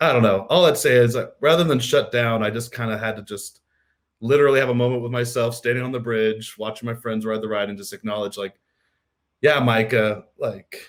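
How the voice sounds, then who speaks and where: Speaking fairly quickly with fairly even intonation, a man with an American accent has a medium pitch and an unremarkable speaking voice. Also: big swings in loudness. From US Midwest, Missouri. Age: 30s. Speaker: podcast host. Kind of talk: casual chat.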